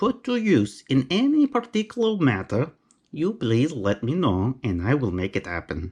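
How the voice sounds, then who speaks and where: Against a quiet background, the speaker talks with a Romanian accent. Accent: Romanian accent, noticeable. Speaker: knife collector YouTuber, carpenter. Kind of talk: unboxing video. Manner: casual, chatty.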